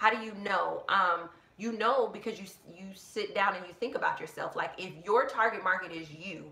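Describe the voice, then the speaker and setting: With an American accent, a woman speaks at medium pitch and a moderate pace, her pitch varying in an ordinary way while her loudness swings widely. There's audible room echo and noticeable background noise. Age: 30s. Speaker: business coach. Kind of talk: live Q&A.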